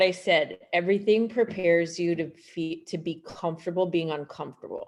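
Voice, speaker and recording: A woman with a Canadian accent speaks at a moderate pace in a plain, everyday voice, pitched fairly low with fairly even intonation. The background is quiet. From Canada, Montreal. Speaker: gynecologist. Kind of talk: presentation.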